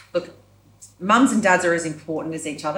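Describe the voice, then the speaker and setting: A woman with an Australian accent speaks at a fairly low pitch in a somewhat breathy voice. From Yamba, New South Wales, Australia. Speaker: performer and creative director. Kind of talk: podcast interview answer.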